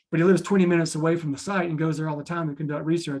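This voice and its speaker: The intonation stays fairly even in an American accent. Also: man. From US South, Florence, South Carolina. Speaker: wildlife scientist. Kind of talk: lecture. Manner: fast.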